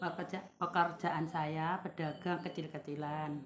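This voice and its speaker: A woman's very deep, low voice, fairly even in intonation, at a very slow pace. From Indonesia, East Java (Tulungagung). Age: 50s. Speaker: small market trader. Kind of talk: interview.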